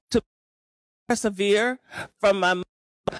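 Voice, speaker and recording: A man's high-pitched voice at a very slow pace, dry and close with no echo. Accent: American. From Arkansas, US South. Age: 70s. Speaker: racial healing center director and speaker. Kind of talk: conference keynote talk. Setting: stage with audience at a conference lunch.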